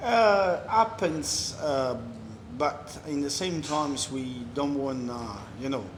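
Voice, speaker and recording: A man with an Italian accent, fairly high-pitched, very slow, with lively intonation and audible room echo. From Italy, Amalfi Coast (Ravello). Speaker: restaurant owner. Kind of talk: casual interview. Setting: in his restaurant.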